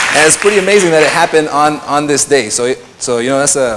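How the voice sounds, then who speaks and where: A man's voice amid noticeable background noise. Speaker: DJ and radio and TV presenter giving a talk. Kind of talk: conference talk. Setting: stage with audience. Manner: casual, hesitant with fillers.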